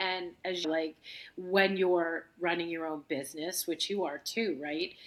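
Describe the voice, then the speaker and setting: At a fairly slow pace, a woman speaks with an American accent and a fairly low pitch. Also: fairly even intonation. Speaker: yoga instructor and studio owner. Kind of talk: casual interview. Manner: loud.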